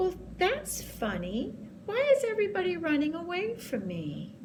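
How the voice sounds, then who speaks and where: A woman puts on a character voice at a moderate pace, with clear background noise behind her. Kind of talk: bedtime story. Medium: read story.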